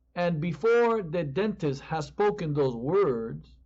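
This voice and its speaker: The speaker has a strong Spanish accent and lively intonation. The pace is fairly slow. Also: man. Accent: Spanish accent, increasingly strong. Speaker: pastor. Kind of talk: sermon.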